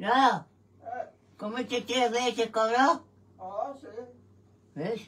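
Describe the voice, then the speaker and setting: A woman speaks very slowly over light background noise. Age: old. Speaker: elderly woman featured in vlog. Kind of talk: casual chat at home. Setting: at home kitchen. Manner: halting. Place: home room. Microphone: phone near.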